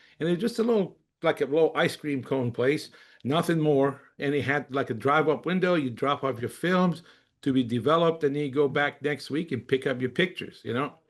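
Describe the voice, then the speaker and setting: A man with an unremarkable speaking voice, fairly high pitch, ordinary pitch variation and a fairly quick pace, against a quiet background. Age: 60s. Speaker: company executive and webinar presenter. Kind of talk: webinar presentation. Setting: online webinar. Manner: casual, with frequent fillers.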